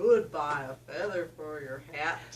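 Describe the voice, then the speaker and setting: Putting on a character voice, a woman speaks at a fairly slow pace with a very deep, low pitch. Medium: read story. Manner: coaxing, playful.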